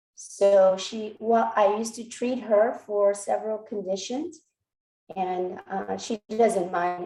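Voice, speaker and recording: Speaking with a Korean accent at a fairly slow pace, a woman has a dark, mellow tone, medium pitch and ordinary pitch variation. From Texas, born in Korea. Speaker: physician and network marketer. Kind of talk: personal testimony speech. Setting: video call. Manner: hesitant, many fillers.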